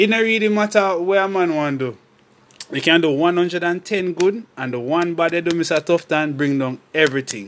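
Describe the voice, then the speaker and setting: The speaker has a Jamaican accent. The pitch varies in an ordinary way. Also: man, high pitch for a man, moderate pace. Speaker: podcast co-host. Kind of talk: casual chat.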